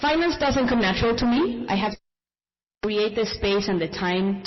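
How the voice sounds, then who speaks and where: A woman with a non-native accent speaks at a moderate pace with lively intonation. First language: not English. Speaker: small business founder. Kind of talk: panel discussion.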